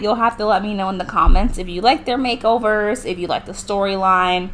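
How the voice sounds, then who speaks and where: A woman's fairly high voice at a fairly quick pace, with noticeable background noise. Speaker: gaming youtuber. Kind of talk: gameplay commentary. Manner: fast.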